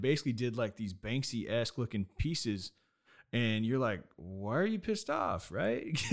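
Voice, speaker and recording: This man has an unremarkable speaking voice, fairly low in pitch with ordinary pitch variation, talking at a fairly quick pace on a very clean recording with a silent background. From Nevada. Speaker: podcast host and acrylic painter. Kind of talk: casual interview. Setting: studio.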